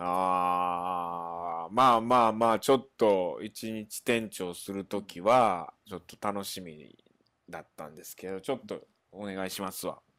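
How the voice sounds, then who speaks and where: A man with a very deep, low pitch, a bright, sharp tone, ordinary pitch variation, a fairly slow pace and big swings in loudness. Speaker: stage actor. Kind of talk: casual chat. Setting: remote call.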